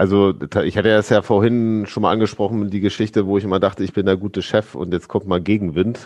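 The delivery comes at a very fast pace. Its intonation is monotone and flat. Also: man, fairly low pitch for a man. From Lower Saxony, Braunschweig area. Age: 40s. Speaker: farmer. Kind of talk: casual chat. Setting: video call.

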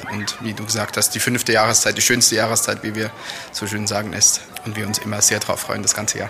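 Very fast speech from a man at fairly low pitch, monotone and flat in intonation, with crowd noise in the background. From Switzerland, near Lucerne. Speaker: tourism manager and carnival participant. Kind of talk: interview.

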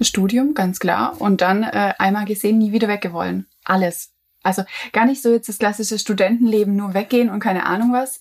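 A woman with an unremarkable speaking voice talks at a fairly quick pace, medium in pitch and fairly even in intonation. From near Stuttgart, Swabia, Germany. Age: 20s. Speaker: journalist and coworking space founder. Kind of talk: casual chat.

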